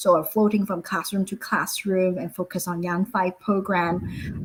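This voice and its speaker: A somewhat breathy voice in a Cantonese accent. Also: woman. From Hong Kong. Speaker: school founder. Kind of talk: webinar presentation. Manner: halting, many fillers.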